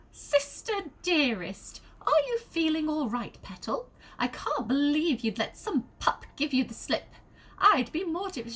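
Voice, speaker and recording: High-pitched, put-on character voice from a woman, delivered fairly slowly. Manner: sweetly condescending, honeyed.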